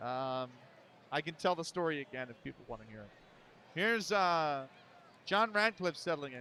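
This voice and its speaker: A man with a Philadelphia accent speaks in a fairly high, bright and sharp voice with lively intonation, big swings in loudness and long, frequent pauses, on a very clean recording with a silent background. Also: moderate pace. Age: 30s. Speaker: baseball sim streamer and commentator. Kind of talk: live play-by-play commentary with casual chat. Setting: live stream. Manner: casual, conversational.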